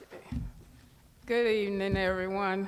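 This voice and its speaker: A woman speaks at a medium pitch and a moderate pace. Audible room echo colors the recording. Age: 70s. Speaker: community member. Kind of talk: speech at community open house. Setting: community center event with audience.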